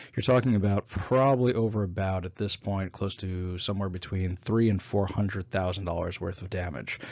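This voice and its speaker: A man with a very deep, low voice speaks in an American accent. He talks at a fairly quick pace with hardly any pauses. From New York. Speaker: former city council candidate, business owner. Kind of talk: solo talk summarizing a presentation.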